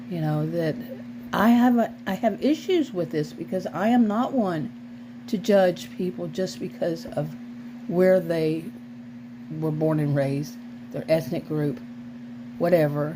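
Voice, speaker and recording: A woman at a fairly slow pace, long, frequent pauses, and noticeable background noise behind her. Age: 60s. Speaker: vlogger, former sociology teacher. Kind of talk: casual vlog monologue. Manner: halting, with frequent restarts.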